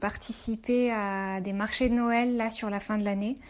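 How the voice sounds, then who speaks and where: In a very slow, monotone delivery, a woman speaks with flat intonation at a fairly high pitch. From Morocco. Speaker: entrepreneur. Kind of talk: interview.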